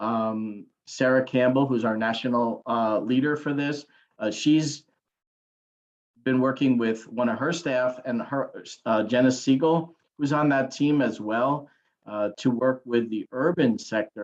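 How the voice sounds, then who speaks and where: A man's ordinary speaking voice, medium in pitch, fairly slow, with fairly even intonation. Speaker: government agency official presenting a program. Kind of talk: webinar presentation. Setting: online webinar.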